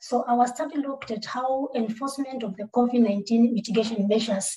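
Against a quiet background, a woman speaks at a moderate pace in a fairly high, somewhat breathy voice. Her intonation is fairly even. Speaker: scientist in animal health and food safety. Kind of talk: webinar presentation. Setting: video call with camera off. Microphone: video call.

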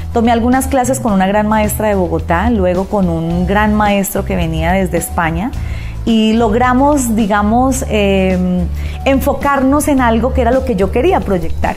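Over clear music in the background, a woman speaks at a fairly slow pace with very even loudness. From Colombia. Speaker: radio announcer and artist. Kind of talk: interview answer. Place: home room. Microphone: lapel.

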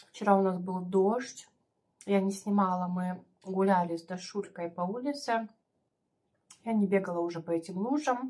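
The speech keeps a moderate pace. Its pitch varies in an ordinary way. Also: woman. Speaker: mukbang vlogger. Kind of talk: casual vlog chat. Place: home room. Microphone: phone near.

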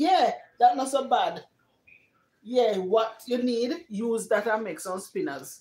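A woman speaks at a fairly slow pace with a fairly high pitch. Her tone is slightly mellow and her intonation lively.

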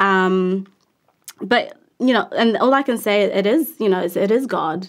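Here a woman speaks with a New Zealand accent. Her pace is fairly slow. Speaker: actress and musician. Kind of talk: interview. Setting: studio.

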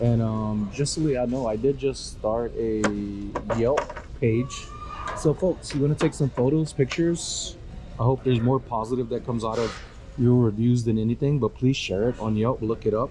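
A man speaks at a moderate pace with fairly even intonation. Faint music sits in the background. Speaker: reseller thrifting. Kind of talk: casual vlog chat. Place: shop. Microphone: phone near.

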